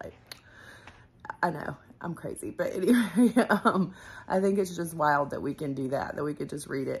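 A woman talks at a fairly quick pace, her fairly low voice somewhat breathy. Her pitch swings very widely. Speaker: vlogger. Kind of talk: casual vlog chat. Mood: reflective, enthusiastic. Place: home room. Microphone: phone near.

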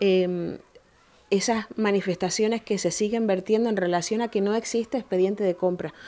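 This woman has a Canarian accent and a dark, mellow tone at medium pitch. Her intonation is fairly even, her pace moderate, and her loudness very even. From Canary Islands, Tenerife (Granadilla); Canary Islands. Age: 30s. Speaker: mayor. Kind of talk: interview. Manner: formal. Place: office.

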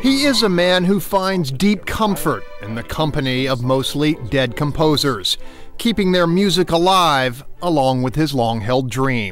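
With music in the background, a man with a fairly high pitch speaks in very wide pitch swings. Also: fairly slow pace. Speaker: TV news reporter. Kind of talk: TV news feature narration.

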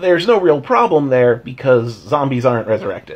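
A man's somewhat breathy voice. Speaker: tabletop game commentator. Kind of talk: casual vlog chat. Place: home room. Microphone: phone near.

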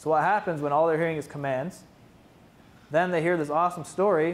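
This man's pitch is fairly high and his intonation fairly even. He moves at a fairly quick pace. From Mohawk territory, Ontario, Canada. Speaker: Mohawk language teacher and PhD student; Mohawk language teacher. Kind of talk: conference presentation. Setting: conference room with audience. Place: classroom. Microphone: camera far.

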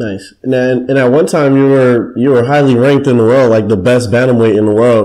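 A man speaks at a fairly quick pace with a dark, mellow tone. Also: medium pitch for a man, fairly even intonation. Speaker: podcast co-host. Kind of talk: casual interview.

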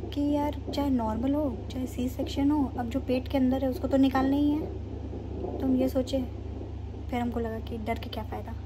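There is noticeable noise in the background. A woman speaks over it at a moderate pace. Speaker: expectant mother vlogger. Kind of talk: casual vlog chat. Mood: calm, mildly nervous, reflective. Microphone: phone near.

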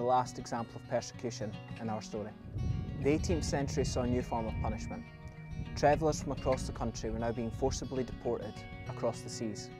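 A man with a Scottish accent talks at a fairly quick pace with ordinary pitch variation, in a dry sound with no echo and clear music in the background. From Scotland. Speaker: Scottish Traveller heritage storyteller. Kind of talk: documentary history narration. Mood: earnest, serious. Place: open country. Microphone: lapel.

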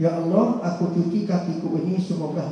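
A man with a Riau accent talks at a fairly slow pace in a high pitch. His tone is animated, and the room echo is strong. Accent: Riau Malay-accented Indonesian. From Riau, Sumatra. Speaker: Islamic preacher and university lecturer; religious teacher. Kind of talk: Ramadan sermon (tausiah). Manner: animated, humorous. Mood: earnest, prayerful. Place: hall.

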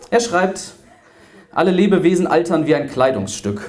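Over light background noise, a man talks at a fairly high pitch. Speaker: preacher slam performer. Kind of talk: spoken word poetry slam performance to a live audience. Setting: live on stage in front of an audience. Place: hall. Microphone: handheld.

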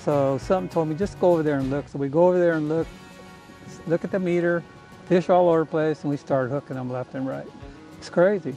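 With ordinary pitch variation, a man talks in a dry sound with no echo while faint music plays in the background. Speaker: fishing guide or angler. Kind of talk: interview answer. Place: boat. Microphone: camera far.

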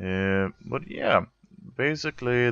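A man speaks very slowly in a Swedish accent. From Sweden. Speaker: video game streamer. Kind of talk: casual gameplay commentary. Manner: animated, chatty.

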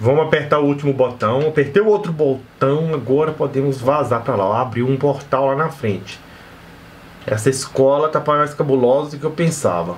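Over light background noise, the speaker keeps a moderate pace and ordinary pitch variation. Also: man. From Brazil. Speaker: gaming youtuber; gaming streamer. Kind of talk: gameplay commentary. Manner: animated.

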